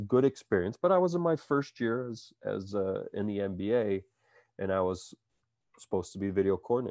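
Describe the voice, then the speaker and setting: A man with a Midwestern American accent talks at a fairly quick pace. The sound is dry and close with no echo, over a quiet background. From US Midwest, Iowa. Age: 40s. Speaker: basketball coach. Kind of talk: interview.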